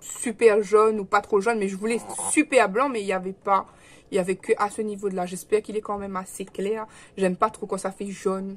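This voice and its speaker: At a fairly quick pace, a woman speaks at a medium pitch in a monotone, flat intonation. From Réunion. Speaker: vlogger. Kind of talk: casual vlog chat. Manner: hesitant, many fillers; speaking softly.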